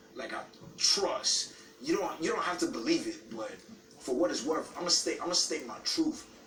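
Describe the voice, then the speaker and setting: The speaker has a passionate tone and a moderate pace. Music plays in the background, and room echo is audible. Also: man. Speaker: reality show contestant. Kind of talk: heated argument. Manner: loud, passionate; halting, repetitive.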